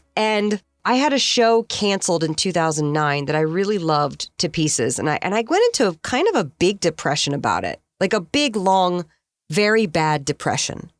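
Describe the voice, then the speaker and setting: An unremarkable speaking voice talks with an American accent and lively intonation at a moderate pace. The sound is dry and close, with no echo. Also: woman, medium pitch for a woman. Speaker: voice actor. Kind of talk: interview answer.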